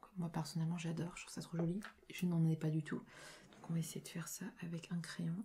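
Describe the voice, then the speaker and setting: Soft-spoken and somewhat breathy, a woman talks at a moderate pace in a fairly low voice with a dark, mellow tone. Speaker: ASMR creator. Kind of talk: casual talk to camera while doing makeup. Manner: soft-spoken, low voice.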